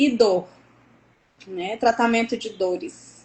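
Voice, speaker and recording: The speaker is a woman. Her pitch sits fairly high. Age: 40s. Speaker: nurse entrepreneur, guest. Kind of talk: live stream interview.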